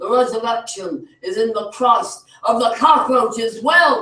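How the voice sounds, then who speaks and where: A man speaks in an extremely high pitch, his voice raised and projected with lively intonation. His tone is passionate and his pace fairly slow. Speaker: open mic poet. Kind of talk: spoken word performance. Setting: open mic at a cafe. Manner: passionate, fiery.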